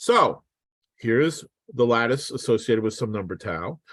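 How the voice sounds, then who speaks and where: A man talks at a moderate pace. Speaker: physicist. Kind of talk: lecture. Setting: online seminar.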